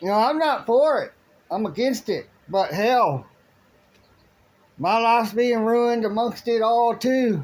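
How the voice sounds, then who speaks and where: Speaking with an American accent, a man with an extremely high pitch goes at a fairly slow pace, with long, frequent pauses. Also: ordinary pitch variation. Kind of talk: political rant monologue. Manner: halting, many restarts.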